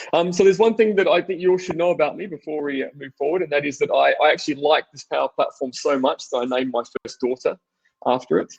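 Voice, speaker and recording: Very fast speech from a man with an Australian accent, big swings in loudness, and a quiet background. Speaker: technology executive and presenter; presenter. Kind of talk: technical webinar presentation. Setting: online webinar. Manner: hesitant, many fillers. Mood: enthusiastic, friendly. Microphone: video call.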